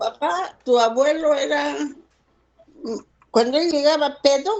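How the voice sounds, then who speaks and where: At a very slow pace, a woman speaks with lively intonation in a high pitch. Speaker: grandmother. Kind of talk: interview answer.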